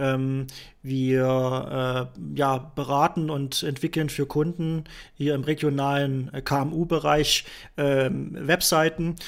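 A man talks at a very slow pace with monotone, flat intonation. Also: fairly high pitch for a man. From Thuringia, Germany. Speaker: podcast host, web developer. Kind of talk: casual chat.

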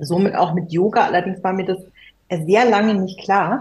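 Somewhat breathy and at a medium pitch, this woman keeps her intonation fairly even. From Germany. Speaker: musician. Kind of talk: casual chat.

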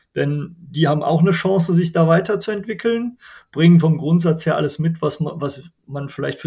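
Speaking at a fairly quick pace, a man has a high pitch and a dark, mellow tone. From Germany, Bergisches Land (North Rhine-Westphalia). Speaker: non-profit association chairman. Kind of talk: interview.

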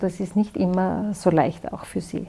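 A woman's medium-pitched voice holds a monotone, flat intonation at a moderate pace. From Austria, Styria. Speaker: pharmacist. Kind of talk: interview.

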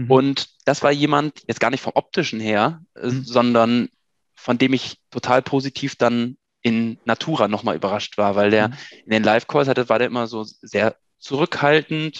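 This man has an ordinary speaking voice at medium pitch, with ordinary pitch variation. He speaks at a moderate pace, and the sound is dry and close with no echo. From Germany, Münsterland (Ahaus). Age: 30s. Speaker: PR manager. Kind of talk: casual interview.

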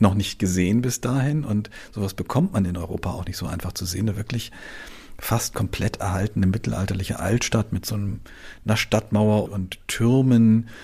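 Speaking at a moderate pace, the man uses a somewhat breathy voice that sits fairly low, and his pitch varies in an ordinary way. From Hamburg, northern Germany. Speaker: travel journalist. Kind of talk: interview. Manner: halting, many fillers.

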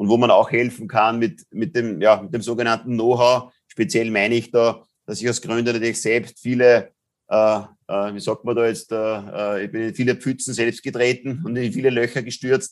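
With a plain, everyday voice, a man talks at a moderate pace and medium pitch with fairly even intonation, in a very clean recording with a silent background. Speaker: business angel and impact investor. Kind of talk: interview.

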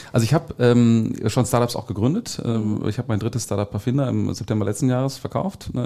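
This man has a plain, everyday voice with ordinary pitch variation. He talks at a fairly quick pace. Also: medium pitch for a man. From Ruhr area, Germany (Gelsenkirchen). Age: 40s. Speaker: corporate-startup innovation consultant. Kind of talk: podcast interview.

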